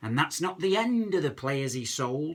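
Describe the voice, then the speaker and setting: A man talks in a Lancashire accent. His pitch swings very widely. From Lancashire, England. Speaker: comic poet. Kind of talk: comic poetry reading.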